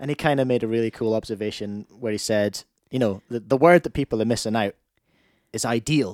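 At a fairly quick pace, a man with a Scottish accent talks at a medium pitch, in a dry, close sound with no echo and a very clean recording with a silent background. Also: ordinary pitch variation. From Scotland. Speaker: podcast host and former radio broadcaster. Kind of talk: casual chat.

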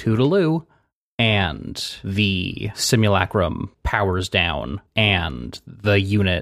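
A man speaks with a very deep, low pitch and vocal fry. The sound is dry and close with no echo, on a very clean recording with a silent background. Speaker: game master of tabletop roleplay podcast. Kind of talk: tabletop roleplay narration. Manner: puts affectation on voice in intros.

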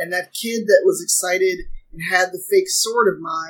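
Ordinary pitch variation marks a woman's normal speaking voice, delivered at a moderate pace. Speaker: role-play player. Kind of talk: tabletop role-play session.

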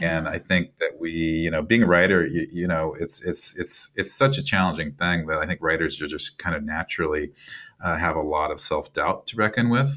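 In an American accent, a man talks at a moderate pace with a very deep, low pitch and ordinary pitch variation. His tone is bright and sharp, on a very clean recording with a silent background. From US Midwest, Iowa. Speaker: writer and nonprofit director. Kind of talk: interview. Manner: halting, many repeated words.

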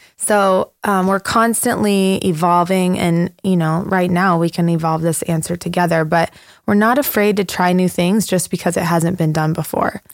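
A woman with a normal speaking voice and a fairly low pitch talks at a moderate pace with very even loudness and fairly even intonation, in a very clean recording with a silent background. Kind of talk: casual chat.

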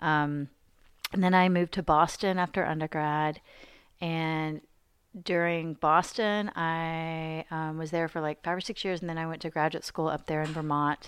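A woman with an American accent speaks at a moderate pace in a fairly low pitch, her intonation monotone and flat. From Arkansas, US South, rural small towns. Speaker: visual artist and art educator. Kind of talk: casual chat. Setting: artist's studio.

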